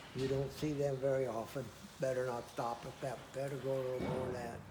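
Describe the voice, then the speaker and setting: There is a somewhat breathy quality to this voice, along with a dark, mellow tone. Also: man. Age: 80s+. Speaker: antique tractor collector. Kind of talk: interview answer.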